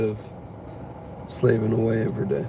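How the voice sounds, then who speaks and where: A man's fairly low-pitched voice with audible room echo and noticeable background noise. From United States. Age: 20s. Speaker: streamer. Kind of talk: casual chat. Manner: casual, filler-heavy.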